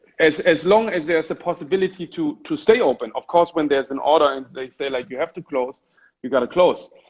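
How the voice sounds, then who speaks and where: A man with a German accent talks at a very fast pace and a fairly high pitch. His pitch varies in an ordinary way while his loudness swings widely. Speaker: gallerist and Instagram live host. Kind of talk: casual interview. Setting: Instagram live video call.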